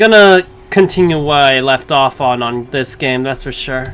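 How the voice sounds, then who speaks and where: A soft-spoken man talks at a moderate pace with a medium pitch and ordinary pitch variation. Noticeable background noise runs underneath. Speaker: game streamer. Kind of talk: casual gaming stream commentary. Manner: quiet, soft-spoken; hesitant, many fillers.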